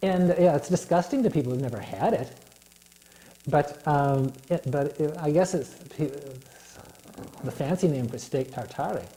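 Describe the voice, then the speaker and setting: Long, frequent pauses break up a man's moderate pace, his fairly high pitch showing ordinary variation. Noticeable background noise can be heard. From US, moved a lot (11 states, much of it Minnesota). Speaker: guest with visual impairment. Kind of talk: interview. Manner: halting, many fillers.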